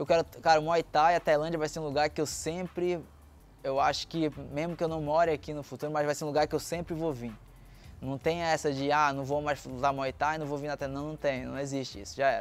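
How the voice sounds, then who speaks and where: A man talks at a fairly quick pace with a fairly high pitch. His intonation is monotone and flat. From Brazil, Belém do Pará; Pará, Brazil. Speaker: Muay Thai fighter. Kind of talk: interview testimony. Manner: casual, halting. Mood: calm, reflective. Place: garden. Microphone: lapel.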